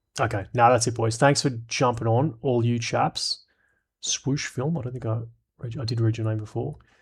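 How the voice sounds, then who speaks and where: A man with an Australian accent, relaxed and somewhat breathy, medium in pitch, fairly even in intonation, at a moderate pace in a very clean recording with a silent background. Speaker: streamer. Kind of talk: live stream chat. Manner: casual, relaxed.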